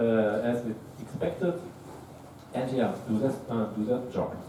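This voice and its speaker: Audible room echo and noticeable background noise accompany fairly slow speech with a German accent. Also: man. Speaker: tech startup co-founder, conference speaker. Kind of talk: tech talk. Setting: stage with audience.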